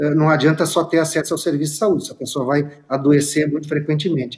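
A somewhat breathy voice moves at a fairly quick pace against a quiet background. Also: man. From Caxias do Sul, Rio Grande do Sul. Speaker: state legislator. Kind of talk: political debate. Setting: remote video link.

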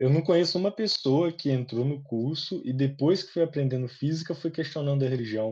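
With a fairly high pitch and ordinary pitch variation, a man talks somewhat breathily at a fairly quick pace with hardly any pauses. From small town in Minas Gerais, Brazil. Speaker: podcast co-host, physics student. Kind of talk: casual chat.

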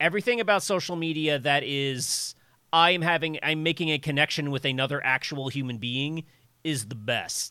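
A man speaks at a fairly high pitch with ordinary pitch variation and a bright, sharp tone. The recording is very clean, with a silent background. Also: moderate pace. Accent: American. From US South, rural suburbs of Virginia. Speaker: comic artist and software engineer. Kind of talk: casual chat. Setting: live stream.

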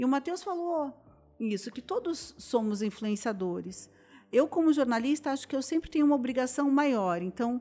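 A woman's high voice has a dark, mellow tone and lively intonation, moving at a moderate pace. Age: 50s. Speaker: journalist and influencer. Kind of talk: casual chat.

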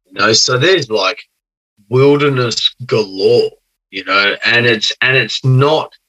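A man with an Australian accent speaks at a very slow pace, with big swings in loudness, in a dry, close sound with no echo. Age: 30s. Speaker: podcast guest. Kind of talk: casual chat. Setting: video call.

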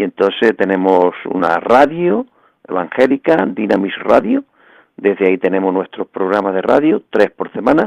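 In an unremarkable speaking voice, a man talks at a moderate pace and a fairly low pitch. The sound is dry and close, with no echo. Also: lively intonation. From Andalusia, Bay of Cádiz (El Puerto de Santa María). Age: 60s. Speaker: evangelical pastor. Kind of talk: radio interview testimony.

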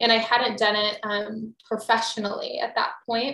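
A woman with an American accent and an ordinary speaking voice, fairly high in pitch, at a moderate pace. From Texas. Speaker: business coach and entrepreneur. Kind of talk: casual interview chat. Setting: office.

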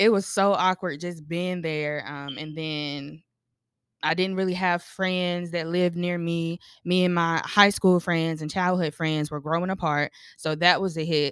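A woman's plain, everyday voice with an American accent, fairly low in pitch, fairly even in intonation, at a fairly slow pace, on a very clean recording with a silent background. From North Carolina. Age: 20s. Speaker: creative. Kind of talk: casual chat.

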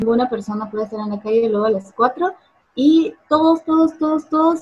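Lively intonation marks a woman's plain, everyday voice at a fairly quick pace. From Guatemala. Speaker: businesswoman and cosplayer. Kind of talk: online interview.

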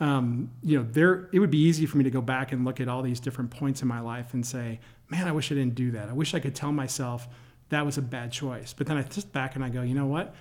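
At a very fast pace, a man with an American accent speaks with ordinary pitch variation. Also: medium pitch for a man. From Michigan, near Detroit. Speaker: company CEO. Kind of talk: interview.

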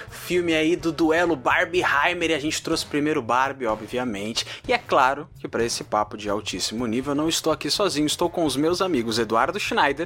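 Hardly pausing, a man with a bright, sharp tone and a fairly high pitch talks at a fairly quick pace with lively intonation. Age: 20s. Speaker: podcast host. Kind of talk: casual chat.

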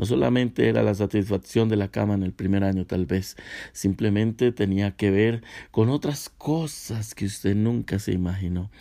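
A man's fairly low, dark, mellow voice at a moderate pace with ordinary pitch variation, in a very clean recording with a silent background. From Colombia, Cúcuta (Santander). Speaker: pastor. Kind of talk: sermon.

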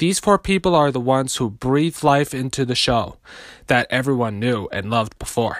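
With ordinary pitch variation, a man uses an unremarkable speaking voice. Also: dry, close sound with no echo. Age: 20s. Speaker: podcaster. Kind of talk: monologue.

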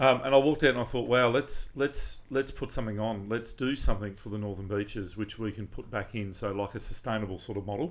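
A man speaks with an Australian accent. His pace is very fast, with hardly any pauses. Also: medium pitch for a man, ordinary pitch variation, very clean recording, silent background. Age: 40s. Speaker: charity event organiser. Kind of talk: casual interview.

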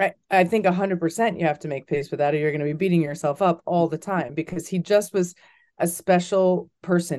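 The voice has a dark, mellow tone and fairly even intonation at a fairly quick pace. The background is quiet. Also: woman. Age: 40s. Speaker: documentary producer and sports journalist. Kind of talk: interview.

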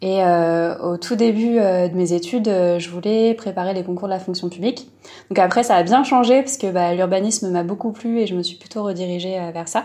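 A woman with an ordinary speaking voice talks at a medium pitch and moderate pace, her pitch variation ordinary. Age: 20s. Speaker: illustrator. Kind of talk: casual interview. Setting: remote call.

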